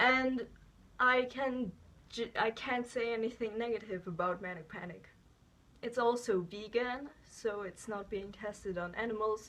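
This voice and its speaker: This woman has a fairly high voice with a bright, sharp tone and a non-native accent. She talks at a fairly slow pace with ordinary pitch variation. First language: not English. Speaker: beauty vlogger. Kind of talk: product review. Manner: hesitant, with many fillers.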